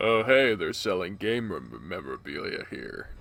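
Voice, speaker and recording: A man talks at a moderate pace in a put-on character voice. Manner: strained, breaking.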